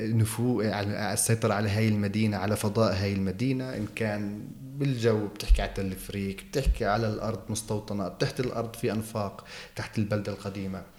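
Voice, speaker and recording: With hardly any pauses, a man talks at a moderate pace in a fairly low voice with monotone, flat intonation. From Jerusalem, Palestine. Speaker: television field reporter. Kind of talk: interview. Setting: office of a TV channel in Jerusalem.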